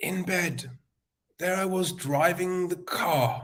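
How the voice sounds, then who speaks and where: The man's voice is somewhat breathy. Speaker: summit speaker. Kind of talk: motivational talk.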